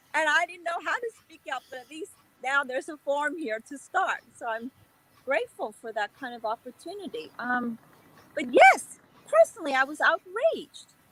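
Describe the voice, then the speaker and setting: A woman's high, American-accented voice with very wide pitch swings and big swings in loudness over noticeable background noise. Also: moderate pace, dry, close sound with no echo. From Korean American community, US. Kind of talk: panel discussion.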